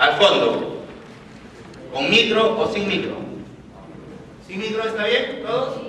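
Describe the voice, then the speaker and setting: A man's raised, projected voice, high-pitched, with lively intonation, a very slow pace and long, frequent pauses, in audible room echo and noticeable background noise. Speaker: occupational safety instructor. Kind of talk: lecture. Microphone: no microphone, speaking unamplified.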